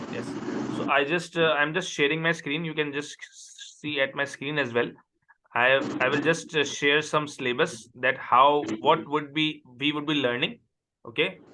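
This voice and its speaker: A man with a fairly high pitch talks at a moderate pace with fairly even intonation. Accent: Pakistani. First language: Urdu. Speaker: accounting tutor. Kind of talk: online tutoring session.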